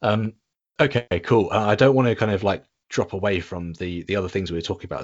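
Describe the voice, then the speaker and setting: A man with an English accent at a very fast pace, with ordinary pitch variation. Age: 30s. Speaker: podcast host. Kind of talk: casual chat. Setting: remote call. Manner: halting.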